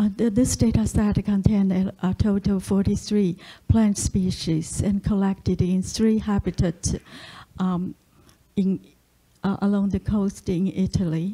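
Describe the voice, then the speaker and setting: Somewhat breathy and dark, mellow in tone, a woman talks at a medium pitch with fairly even intonation and a fairly slow pace. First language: Chinese. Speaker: statistician. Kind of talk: lecture. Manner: halting, many fillers.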